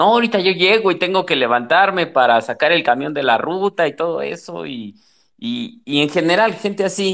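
A man speaks in a Mexico City accent. His pitch is high and his pace moderate. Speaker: football fan. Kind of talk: casual chat.

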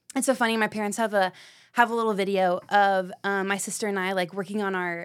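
In a very clean recording with a silent background, a woman talks fairly quickly at a medium pitch. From Knoxville, Tennessee. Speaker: middle school ministry leader. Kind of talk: casual chat.

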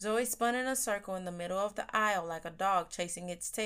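Natural-voiced reading aloud, pitch varying an ordinary amount

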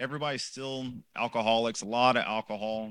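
In an American accent, a man speaks with a bright, sharp tone on a very clean recording with a silent background. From Los Angeles, California. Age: 30s. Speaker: professor giving a faith testimony. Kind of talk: testimony. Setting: church men's group gathering with microphone. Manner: unscripted, conversational.

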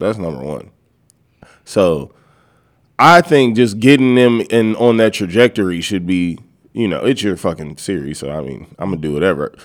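A man with an American accent talks in a relaxed tone at a fairly low pitch, with very wide pitch swings and big swings in loudness. He leaves long, frequent pauses, and the recording is very clean with a silent background. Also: moderate pace. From California. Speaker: podcast co-host. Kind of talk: casual banter podcast. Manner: relaxed, jokey, laughs often.

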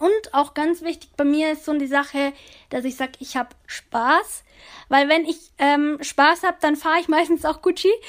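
Over a silent background in a very clean recording, a woman talks at a moderate pace with a high pitch and fairly even intonation. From Upper Bavaria, Germany (Oberammergau). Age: 20s. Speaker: para alpine ski racer. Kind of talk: interview.

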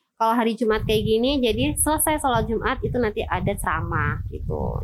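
Over music in the background, a woman talks at a fairly quick pace with ordinary pitch variation and a dry, close sound free of echo. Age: 30s. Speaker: prison education staff. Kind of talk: interview. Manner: hesitant with fillers.

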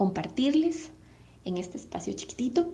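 A woman at a fairly slow pace. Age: 30s. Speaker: mother. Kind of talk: testimony.

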